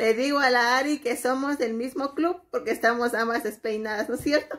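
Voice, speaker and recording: A woman's moderately paced speech has ordinary pitch variation over a quiet background. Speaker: mother vlogger. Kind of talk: casual vlog chat. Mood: relaxed, playful. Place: home room. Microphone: phone near.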